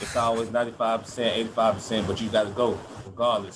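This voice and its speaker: His pitch stays medium. The man talks at a very fast pace. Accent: American. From Georgia, Atlanta area. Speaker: college football player. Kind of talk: interview.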